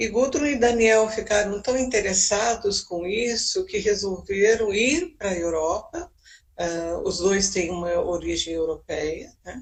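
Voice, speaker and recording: Very slow and somewhat breathy, a woman speaks with lively intonation. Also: medium pitch for a woman. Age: 70s. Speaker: psychologist. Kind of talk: interview talk.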